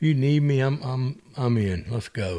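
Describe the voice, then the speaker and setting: The speaker talks in a South Carolina Lowcountry accent. The pitch varies in an ordinary way. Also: man. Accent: Southern US (South Carolina Lowcountry). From US South, South Carolina Lowcountry (Ridgeland). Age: 60s. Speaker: golfer and businessman. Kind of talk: casual chat. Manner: animated.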